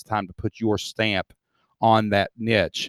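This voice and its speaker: On a very clean recording with a silent background, a man speaks with a Southern Appalachian accent, the sound dry and close with no echo. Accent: Southern Appalachian US, noticeable. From Southeast Kentucky. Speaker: membership business teacher. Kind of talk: interview. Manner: upbeat.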